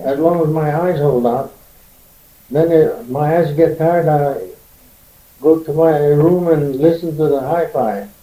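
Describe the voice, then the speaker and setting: A man's fairly high voice, dark and mellow in tone, with ordinary pitch variation, a fairly slow pace, long and frequent pauses, and audible room echo. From Korea. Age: 70s. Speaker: Korean immigrant pioneer. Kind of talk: oral history interview. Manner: halting.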